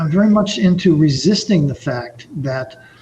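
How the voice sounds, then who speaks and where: A man with an American accent speaks at a high pitch with lively intonation. Noticeable background noise runs underneath. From New York (Brooklyn). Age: 60s. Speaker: author and entrepreneur. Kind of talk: podcast interview. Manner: halting, frequent repetitions.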